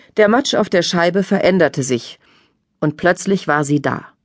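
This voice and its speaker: A normal speaking voice from a woman, fairly low in pitch, at a moderate pace against a quiet background. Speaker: audiobook narrator. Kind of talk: dramatic audiobook narration of a crime thriller.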